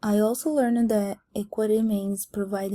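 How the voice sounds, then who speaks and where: At a fairly slow pace, a woman with a non-native accent speaks in a dark, mellow, somewhat breathy tone. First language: not English. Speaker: student. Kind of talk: class presentation. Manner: halting.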